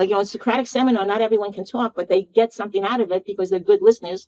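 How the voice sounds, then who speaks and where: A woman with a Bronx accent has a dark, mellow tone, recorded with a dry, close sound and no echo. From New York City, Bronx. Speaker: education consultant and university professor. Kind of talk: interview. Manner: animated.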